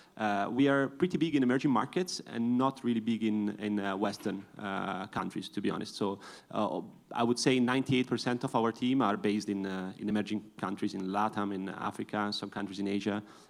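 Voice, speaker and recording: On a very clean recording with a silent background, a man speaks with an Italian accent. His pitch is fairly low with ordinary variation, and his pace is fairly quick. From Italy. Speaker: crypto company executive. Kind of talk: panel discussion. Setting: conference stage with audience.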